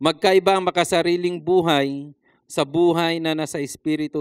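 With a quiet background and a dry sound with no echo, a man speaks at a high pitch. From Philippines. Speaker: preacher. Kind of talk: sermon. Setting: church. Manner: formal; earnest. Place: church. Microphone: handheld.

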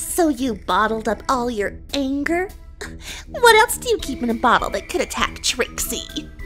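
A put-on character voice, female-sounding and high-pitched for a woman, moves at a moderate pace over clear music in the background. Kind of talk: comic dub.

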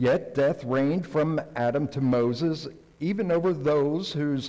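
Against a quiet background, the voice moves at a fairly slow pace with ordinary pitch variation. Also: man. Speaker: pastor. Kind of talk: liturgical scripture reading. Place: church.

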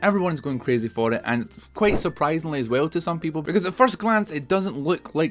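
With a Scottish accent, a man talks at a very fast pace in very wide pitch swings over light background noise. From Scotland. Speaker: gaming YouTuber. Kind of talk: casual talk to camera. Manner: excited, chatty. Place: home room.

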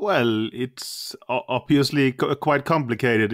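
A man talks at a moderate pace with medium pitch and ordinary pitch variation. The sound is dry and close with no echo, very clean, and the background silent. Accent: Danish. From Denmark. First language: Danish (speaking German). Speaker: chess grandmaster and coach. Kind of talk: interview. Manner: halting, many repetitions and fillers.

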